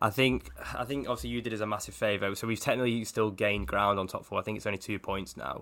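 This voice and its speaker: A man with a bright, sharp tone and vocal fry speaks at a very fast pace. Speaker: Liverpool-supporting football journalist. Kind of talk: casual football discussion.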